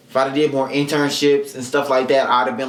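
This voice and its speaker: Audible room echo around a man's voice, plus noticeable background noise. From Mississippi. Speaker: podcast host. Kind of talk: casual solo podcast chat. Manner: fast.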